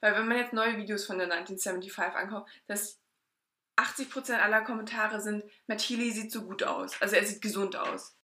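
A woman speaks in a flat monotone at a fairly high pitch. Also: moderate pace. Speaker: podcast co-host. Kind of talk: casual chat.

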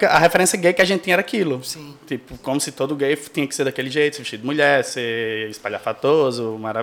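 This man has an unremarkable speaking voice, pitched fairly high. He talks at a fairly quick pace. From Brazil, Rio Grande do Norte interior (Seridó). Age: 30s. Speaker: podcast guest. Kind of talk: casual chat.

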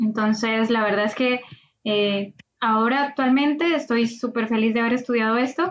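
Using an unremarkable speaking voice, a woman talks at a moderate pace with a fairly high pitch, ordinary pitch variation and very even loudness. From Colombia. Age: 20s. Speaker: AI graduate student and startup cofounder. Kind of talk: interview.

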